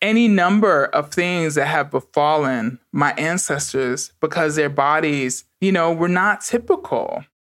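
Fairly slow, nearly pause-free delivery in an American accent. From New York City (Bronx). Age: 40s. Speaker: intersex activist. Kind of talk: interview.

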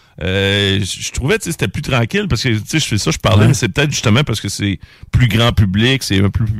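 A man with a Quebec accent at a fairly quick pace, his pitch fairly low with ordinary variation. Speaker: radio host. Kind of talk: casual chat. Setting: studio.

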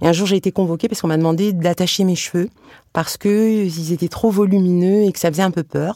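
A woman's fairly low, dark, mellow voice with fairly even intonation, a very fast pace, and a dry, close sound with no echo. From France, Tunisian family. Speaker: comic book author and illustrator. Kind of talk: casual chat. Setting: studio.

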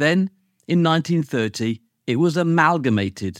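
Someone with a British accent speaks with lively intonation on a very clean recording with a silent background and a dry, close sound with no echo. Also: man. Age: 50s. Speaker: lawyer and podcast host. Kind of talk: scripted narration.

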